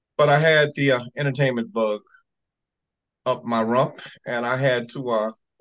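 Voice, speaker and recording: At a moderate pace, a man with a medium pitch and fairly even intonation speaks with long, frequent pauses. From US South, Alabama and Georgia. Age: 60s. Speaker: comedy awards organization president. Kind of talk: interview.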